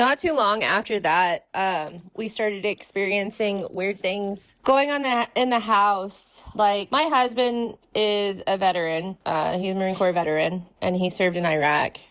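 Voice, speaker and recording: Here is a woman with an ordinary speaking voice at medium pitch, speaking at a fairly slow pace. She uses ordinary pitch variation and hardly any pauses. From California and Hawaii. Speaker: paranormal storyteller. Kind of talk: casual interview, personal ghost story.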